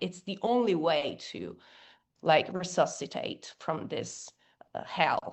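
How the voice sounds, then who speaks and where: Speaking very slowly in an Italian accent, a woman uses a fairly low pitch. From Italy. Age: young. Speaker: rock singer and activist. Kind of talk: interview. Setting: podcast. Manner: halting, many fillers.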